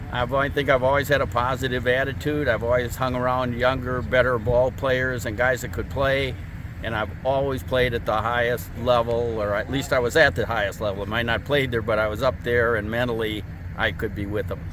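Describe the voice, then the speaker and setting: With audible room echo and noticeable background noise, a man talks at a fairly quick pace in a medium pitch with fairly even intonation. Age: 70s. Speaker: senior softball player. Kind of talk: interview.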